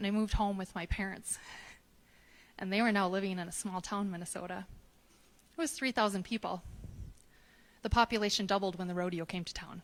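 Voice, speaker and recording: A soft-spoken, medium-pitched woman with an American accent at a fairly quick pace, with fairly even intonation and long, frequent pauses, on a very clean recording with a silent background. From US Midwest, Wisconsin. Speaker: storyteller. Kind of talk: personal storytelling on stage. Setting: stage with live audience.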